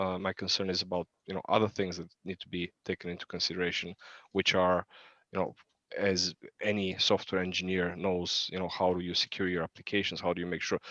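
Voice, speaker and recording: Against a quiet background, a man talks at a very deep, low pitch with monotone, flat intonation. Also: fairly quick pace. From Bulgaria. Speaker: fintech expert panelist. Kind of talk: panel discussion. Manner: hesitant, many fillers.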